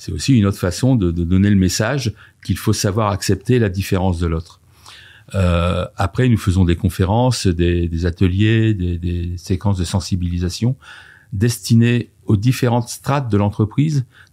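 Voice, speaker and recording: Over a silent background on a very clean recording, a man speaks at a moderate pace in a fairly low, dark, mellow voice with ordinary pitch variation. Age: 50s. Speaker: diversity and inclusion consultant. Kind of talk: podcast interview.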